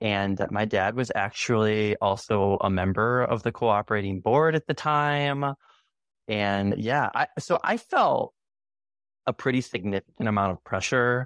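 A man's plain, everyday voice, fairly slow with ordinary pitch variation, dry and close with no echo against a quiet background. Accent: American. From US Midwest, Chicago area. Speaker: former university student. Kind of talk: interview.

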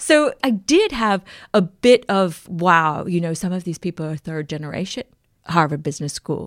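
A woman's normal speaking voice, fairly low in pitch, with lively intonation at a moderate pace, on a very clean, silent recording that is dry and close with no echo. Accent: American. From US, Maryland (PG County). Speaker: author and journalist. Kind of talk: interview.

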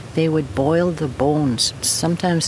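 The speech comes at a moderate pace with ordinary pitch variation over noticeable background noise. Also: woman. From Fort Chipewyan, northern Alberta, Canada. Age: 60s. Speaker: First Nation elder. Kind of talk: interview. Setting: at her home.

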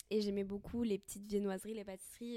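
Her intonation is monotone and flat. This woman has a medium pitch and a dark, mellow tone. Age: 20s. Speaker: podcast guest sharing eating disorder recovery. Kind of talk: casual conversation, personal testimony. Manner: halting, many fillers.

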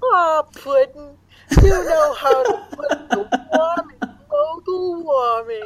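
In a put-on character voice, a female-sounding speaker talks at a very slow pace with a high pitch for a woman. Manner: playful, cutesy.

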